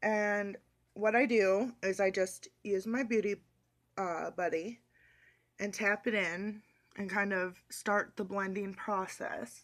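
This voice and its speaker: A woman of medium pitch speaks very slowly, with long, frequent pauses and fairly even intonation. The recording is very clean, with a silent background. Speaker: beauty vlogger. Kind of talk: makeup tutorial.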